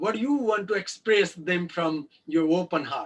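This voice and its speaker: A man's high-pitched voice with lively intonation. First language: not English (English is fifth language). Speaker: life coach. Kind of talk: video call interview. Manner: halting, many fillers.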